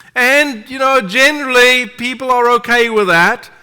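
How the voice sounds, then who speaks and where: A man's raised, projected voice in a non-native accent, extremely high in pitch, bright and sharp in tone, at a moderate pace. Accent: foreign. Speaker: preacher. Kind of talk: sermon. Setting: church.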